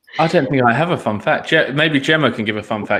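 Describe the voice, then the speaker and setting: Talking very fast with lively intonation, a man with an English accent has a bright, sharp tone. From England. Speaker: recruiter. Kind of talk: online panel Q&A.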